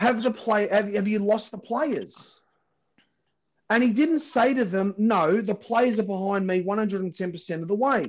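Spoken in a strong Australian accent, the words come at a fairly slow pace with ordinary pitch variation. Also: man, high pitch for a man. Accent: broad Australian. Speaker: podcast host and football fan. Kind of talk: heated debate. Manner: loud, swearing, fired-up and blunt.

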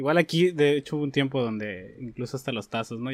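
Very fast man's speech with ordinary pitch variation. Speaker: podcast host. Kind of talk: interview. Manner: halting.

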